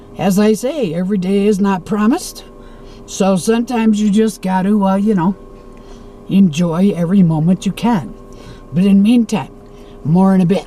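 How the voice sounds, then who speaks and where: Long, frequent pauses break up the speech over noticeable background noise. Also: moderate pace. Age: 60s. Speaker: travel vlogger. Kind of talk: casual vlog monologue. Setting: in a car.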